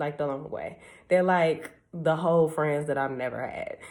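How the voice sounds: A woman's low-pitched voice with a slightly mellow tone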